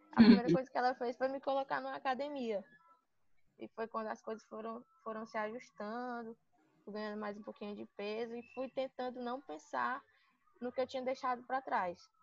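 Speaking in an unremarkable speaking voice, a woman talks at a moderate pace with a fairly high pitch and big swings in loudness. The sound is dry and close, with no echo. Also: ordinary pitch variation. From Sobral, Ceará, Brazil. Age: 20s. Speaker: physical education student and gym intern. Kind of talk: personal testimony interview.

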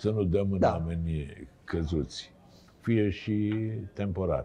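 A man speaks at a very slow pace in a very deep, low pitch. His tone is dark and mellow, with fairly even intonation. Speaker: TV talk show host. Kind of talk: casual interview chat. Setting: studio.

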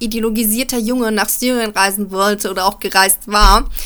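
A woman talks at a moderate pace with a bright, sharp tone. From Germany, Frankfurt. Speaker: journalist commentator. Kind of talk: opinion commentary.

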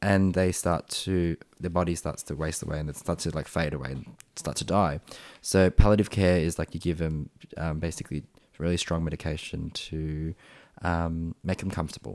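In a very clean recording with a silent background, a man with an Australian accent speaks at a very deep, low pitch. His pace is moderate and his intonation fairly even. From Australia, Springvale, Melbourne. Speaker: paramedic. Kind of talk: casual chat.

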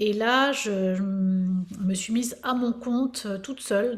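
Somewhat breathy, the woman keeps a fairly even intonation. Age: 50s. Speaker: fitness coach. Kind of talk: casual chat.

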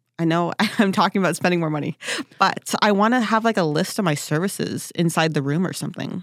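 A woman with a fairly low pitch and ordinary pitch variation speaks at a very fast pace in a very clean recording with a silent background and a dry, close sound with no echo. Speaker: podcast co-host and esthetician. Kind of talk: casual chat.

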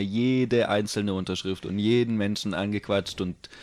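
A man with a plain, everyday voice speaks at a fairly low pitch. His intonation is fairly even and his pace moderate. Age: 20s. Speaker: skateboarder and office clerk. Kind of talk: casual chat. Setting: host's living room.

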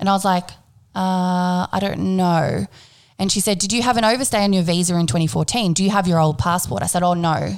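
A woman with an Australian accent, medium pitch, ordinary pitch variation, fairly quick pace and very even loudness, on a very clean recording with a silent background. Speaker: podcast host. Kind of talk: casual chat; scripted intro.

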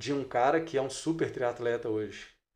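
Over a quiet background, a man with an unremarkable speaking voice talks at a moderate pace and medium pitch, with ordinary pitch variation. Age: 40s. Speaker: triathlon coach and exercise physiologist. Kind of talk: casual interview chat.

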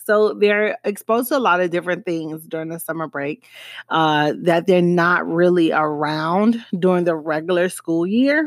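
On a very clean recording with a silent background, a woman with a slight Miami accent speaks at a moderate pace in an animated tone, her pitch fairly low with ordinary pitch variation. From Miami, US. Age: 30s. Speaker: podcast host. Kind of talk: casual solo podcast talk. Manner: animated, conversational.

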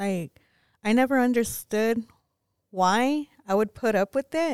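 Captured in a very clean recording with a silent background and a dry, close sound with no echo, a woman speaks with lively intonation at a fairly high pitch. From West Texas (Pecos). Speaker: guest sharing life story. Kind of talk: testimony.

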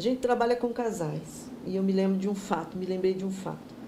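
A woman with a medium pitch talks at a moderate pace, with audible room echo around her. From Brazil, São Paulo state (Jundiaí). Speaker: pastor. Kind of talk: bible teaching.

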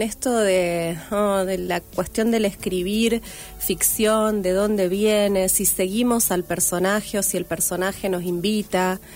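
A woman speaks very slowly at a medium pitch. Her intonation stays fairly even over music in the background. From Argentina, Santa Fe province (Rafaela). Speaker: writer and teacher. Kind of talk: radio interview. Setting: radio studio. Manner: halting.

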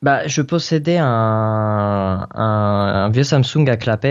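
Male speech at a medium pitch, varying in an ordinary way. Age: 20s. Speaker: tech blogger. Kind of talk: casual interview. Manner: hesitant, many fillers.

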